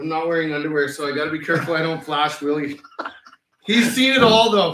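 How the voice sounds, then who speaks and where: Audible room echo follows a man speaking very fast with lively intonation and a fairly high pitch. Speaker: band singer. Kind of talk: casual chat. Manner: loud.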